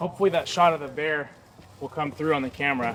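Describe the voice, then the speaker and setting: A man with a fairly high pitch over noticeable background noise. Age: 20s. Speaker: day trader and video creator. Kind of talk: casual vlog chat. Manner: relaxed, filler-heavy.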